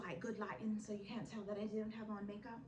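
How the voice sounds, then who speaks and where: Amid noticeable background noise and audible room echo, a woman talks in an animated tone. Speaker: vlogger giving life advice. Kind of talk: casual advice vlog. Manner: loud.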